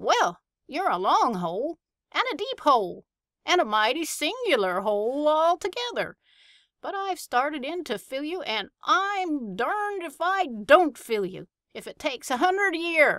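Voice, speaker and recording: A woman does a put-on character voice in a rural American West accent, high in pitch with very wide pitch swings. Her pace is moderate. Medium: read story. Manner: chatty, folksy, growing exasperated.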